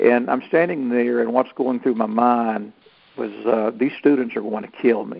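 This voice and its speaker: A man speaks at a moderate pace with a Southern US accent and fairly even intonation. His loudness swings a lot. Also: medium pitch for a man. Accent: Southern US (Georgia). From US South, North Georgia. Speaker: Santa Claus performer and actor. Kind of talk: interview.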